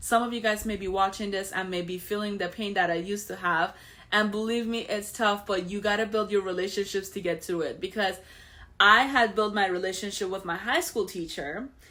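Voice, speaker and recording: On a very clean recording with a silent background, a woman with an Iranian accent speaks at a fairly quick pace in a bright, sharp tone with fairly even intonation. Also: medium pitch for a woman. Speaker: financial show host. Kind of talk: personal story monologue. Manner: casual, conversational with fillers.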